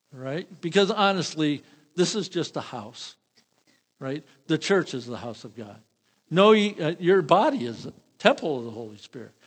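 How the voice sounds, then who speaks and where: A man's fairly high voice at a moderate pace, with very wide pitch swings, big shifts in loudness, and long, frequent pauses. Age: old. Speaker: pastor. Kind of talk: sermon. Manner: halting.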